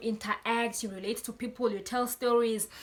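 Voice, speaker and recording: Noticeable background noise sits behind a woman's fairly high voice. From Eswatini. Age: 20s. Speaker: spoken word poet. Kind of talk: casual talk to camera.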